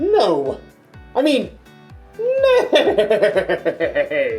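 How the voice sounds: A put-on character voice at extremely high pitch, with faint music in the background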